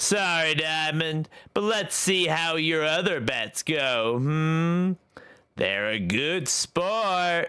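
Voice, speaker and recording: On a very clean recording with a silent background, a man puts on a character voice with a fairly high pitch and speaks very slowly. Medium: game stream. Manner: theatrical, deeply expressive, purring and sweet.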